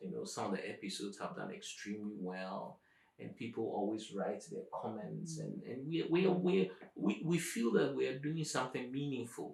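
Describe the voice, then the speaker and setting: A man speaks with an African accent. His pace is moderate. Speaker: professor, YouTube channel host. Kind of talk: conversational interview answers.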